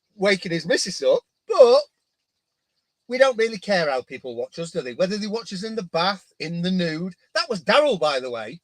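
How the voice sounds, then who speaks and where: A man talks at a moderate pace with a high pitch and very wide pitch swings. His loudness swings a lot, and the sound is dry and close with no echo. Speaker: marine aquarium coral fragging livestream co-host. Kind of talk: casual chat. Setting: livestream. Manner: quiet.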